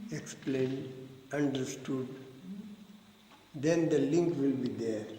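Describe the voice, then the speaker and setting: A fairly high-pitched male voice at a very slow pace, fairly even in intonation, with audible room echo and noticeable background noise. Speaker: spiritual philosophy teacher. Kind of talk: lecture with group discussion. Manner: slow, deliberate.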